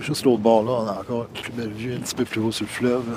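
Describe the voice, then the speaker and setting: Amid noticeable background noise, a man speaks in a monotone, flat intonation. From Quebec, Matane (Bas-Saint-Laurent). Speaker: visual artist and photographer. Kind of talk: casual chat.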